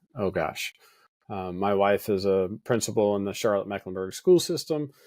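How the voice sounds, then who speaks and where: Pitch varies in an ordinary way as the speech moves at a moderate pace. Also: man. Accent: American. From Western North Carolina (Hendersonville). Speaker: pastor. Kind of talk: podcast interview.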